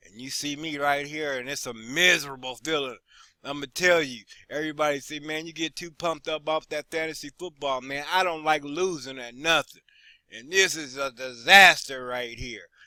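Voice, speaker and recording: The voice has a bright, sharp tone, fairly even intonation, big swings in loudness and a moderate pace, in a very clean recording with a silent background and a dry, close sound with no echo. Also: man. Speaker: fantasy football league player recapping standings. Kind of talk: casual video recap. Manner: low-energy, subdued.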